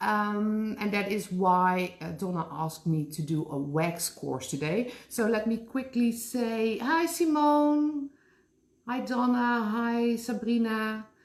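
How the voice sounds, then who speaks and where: At a very slow pace, a woman speaks with a Dutch accent and a fairly high pitch. Her pitch swings very widely. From Netherlands. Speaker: special effects makeup artist. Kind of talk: live tutorial. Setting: live online class from her store. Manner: casual, with frequent fillers.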